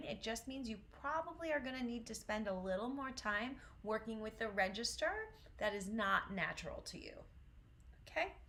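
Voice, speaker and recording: With an American accent and a fairly high pitch, a woman speaks at a moderate pace with lively intonation, amid noticeable background noise and audible room echo. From US Northeast, Syracuse, New York. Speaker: vocal coach. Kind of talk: online voice lesson. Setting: livestream.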